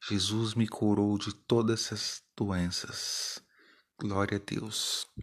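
A man's fairly low, monotone, flat voice at a very slow pace against a quiet background. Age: 40s. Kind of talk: spiritual testimony.

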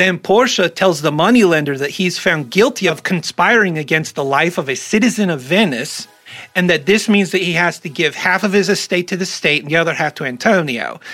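Over noticeable background noise, a man talks fairly quickly in a high pitch with ordinary pitch variation. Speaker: podcast host. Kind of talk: casual comedic commentary. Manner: jokey, rambling.

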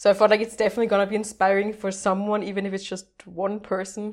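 A woman with a German accent, fairly quick and flat in a monotone, on a very clean recording with a silent background. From Austria (Vienna). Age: 20s. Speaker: language learner and content creator. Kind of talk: casual podcast interview.

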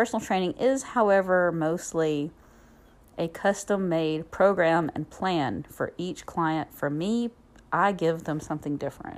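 In a Southern US accent, a woman speaks with a warm, upbeat tone, fairly low pitch, ordinary pitch variation and a fairly slow pace on a very clean recording with a silent background. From Alabama, US South. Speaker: podcast host and fitness instructor. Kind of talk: solo podcast monologue, casual. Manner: warm, conversational, upbeat.

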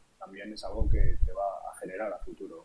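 A man speaks with a Madrid accent. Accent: Castilian Spanish (Madrid). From Spain, Madrid. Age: 30s. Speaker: crypto investor and streamer. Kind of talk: podcast interview.

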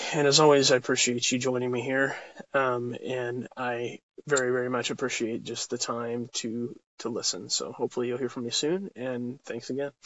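This man has a plain, everyday voice at a medium pitch. He keeps a moderate pace with fairly even intonation. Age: 20s. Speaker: marketer and vlogger. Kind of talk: casual vlog monologue. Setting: in a parked car.

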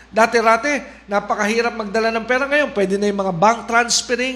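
A man speaks in a raised, projected voice with a bright, sharp tone. His pitch is extremely high for a man, with ordinary pitch variation. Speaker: preacher. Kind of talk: sermon. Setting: online livestream.

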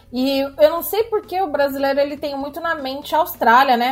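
Over noticeable background noise, a woman with a Brazilian accent speaks in a high pitch with ordinary pitch variation. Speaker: blogger and emigrant. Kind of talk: interview.

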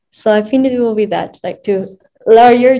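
Over music in the background, a woman with a Spanish accent speaks with fairly even intonation. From Peru, Lima. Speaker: sex education entrepreneur. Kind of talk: casual interview. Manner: halting, with fillers.

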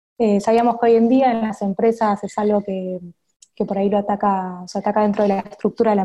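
A woman with an Argentine accent has a dark, mellow tone. Her voice is somewhat breathy, with fairly even intonation. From Argentina, Buenos Aires. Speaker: UX designer. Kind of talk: interview. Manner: hesitant, frequent fillers.

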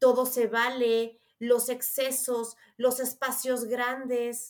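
Here a woman is speaking. Her pace is very slow. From Mexico. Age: 30s. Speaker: astrologer. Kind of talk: interview.

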